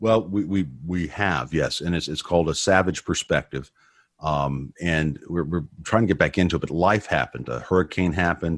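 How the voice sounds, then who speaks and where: This man's voice sits at a very deep, low pitch with ordinary pitch variation. He speaks at a moderate pace on a very clean recording with a silent background. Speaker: former prisoner turned ministry speaker. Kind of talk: testimony interview. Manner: loud.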